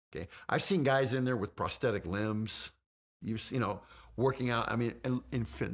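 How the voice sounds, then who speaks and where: A man's medium-pitched voice with lively intonation, vocal fry and a moderate pace. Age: 50s. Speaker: fitness guest. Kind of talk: casual chat. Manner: halting.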